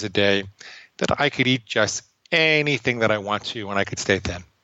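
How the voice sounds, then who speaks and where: An American-accented man uses an ordinary speaking voice at a medium pitch and moderate pace, with ordinary pitch variation. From New York City area. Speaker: psychologist and author. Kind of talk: interview.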